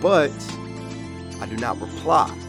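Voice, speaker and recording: A man speaks with music playing in the background. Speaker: spoken word poet. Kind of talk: slam poetry performance.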